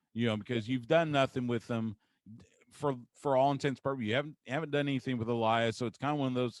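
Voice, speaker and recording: A man with an American accent talks at a fairly quick pace in an unremarkable speaking voice, medium in pitch with ordinary pitch variation, on a very clean, dry, close recording with no echo and a silent background. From Texas. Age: 50s. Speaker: sports radio host. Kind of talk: casual interview chat.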